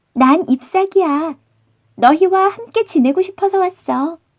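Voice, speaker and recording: A woman uses a squeaky, put-on character voice at an extremely high pitch. She speaks at a moderate pace. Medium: read story. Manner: earnest, warm.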